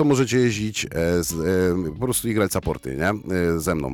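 A man talks at a moderate pace. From Poland, Bielsko-Biała. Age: 30s. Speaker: rapper and concert emcee. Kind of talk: casual chat. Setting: radio studio.

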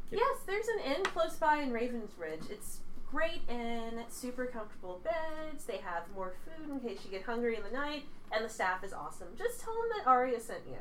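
Using a put-on character voice, the speaker has a fairly high pitch and a warm, bubbly tone at a moderate pace amid clear background noise. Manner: warm, bubbly, motherly.

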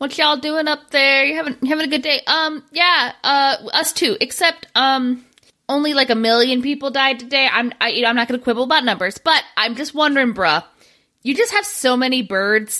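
A woman's raised, projected voice at high pitch, bright and sharp in tone, with ordinary pitch variation and a moderate pace. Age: 30s. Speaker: comedy podcast co-host. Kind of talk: casual chat.

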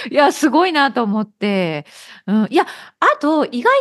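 A woman at a moderate pace, very wide pitch swings, quiet background. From Okayama, Japan. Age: 50s. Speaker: podcast host and Japanese teacher. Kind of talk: casual interview chat. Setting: video call.

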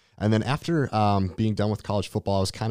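The speech comes very fast, with an American accent. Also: man, very clean recording, silent background. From Minnesota, US. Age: 20s. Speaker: personal trainer and CrossFit coach. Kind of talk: casual interview chat.

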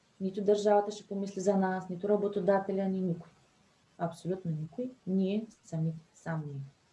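A woman speaks at a medium pitch in a dark, mellow, somewhat breathy tone, her intonation fairly even. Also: moderate pace. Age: 30s. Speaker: entrepreneur and mother. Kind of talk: interview.

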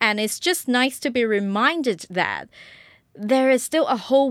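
The recording is very clean, with a silent background. A woman speaks with a British accent and ordinary pitch variation. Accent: British-sounding. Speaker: podcast host. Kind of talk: solo podcast monologue.

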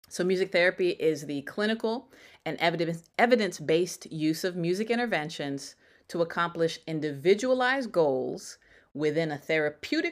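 A woman with a northeastern US accent, fairly low pitch and lively intonation, in a very clean recording with a silent background. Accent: American, northeastern. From US Northeast, Connecticut. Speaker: music therapist and soul singer. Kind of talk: interview.

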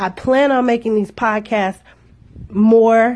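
A woman speaks at a fairly slow pace in a fairly high, somewhat breathy voice with a dark, mellow tone. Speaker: podcast host. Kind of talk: podcast monologue.

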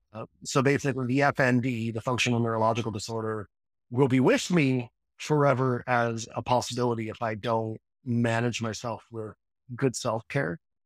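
A man's medium-pitched voice at a moderate pace, fairly even in intonation, dry and close with no echo, on a very clean recording with a silent background. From Newfoundland, Canada. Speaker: counseling psychology student, former electrician. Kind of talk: casual interview.

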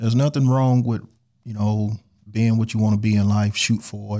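A man's medium-pitched, dark, mellow voice with an American accent, at a moderate pace with fairly even intonation, on a very clean recording with a silent background. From St. Louis, Missouri. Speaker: barber, shop owner. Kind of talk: casual chat.

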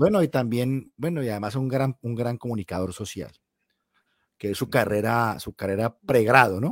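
A man's ordinary speaking voice at medium pitch and moderate pace, ordinary pitch variation, dry and close with no echo. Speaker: podcast host. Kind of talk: casual chat. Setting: live stream.

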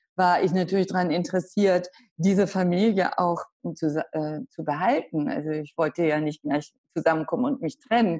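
At a moderate pace, a woman with a fairly low pitch and a dark, mellow tone speaks with ordinary pitch variation. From Hamburg, northern Germany. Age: 60s. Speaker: author. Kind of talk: interview.

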